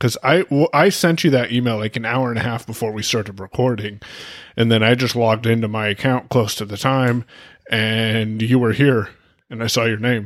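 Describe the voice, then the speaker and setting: In a very clean recording with a silent background, a man talks at a fairly quick pace in a plain, everyday voice of medium pitch with ordinary pitch variation. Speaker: podcast co-host. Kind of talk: casual chat about tech.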